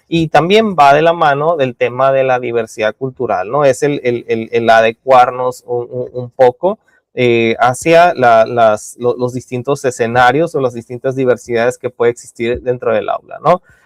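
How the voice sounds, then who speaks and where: A man at a medium pitch, fairly slow yet with hardly any pauses, ordinary pitch variation, a dry, close, echo-free sound and music in the background. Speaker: university lecturer. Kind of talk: lecture. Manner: halting, many fillers and repetitions.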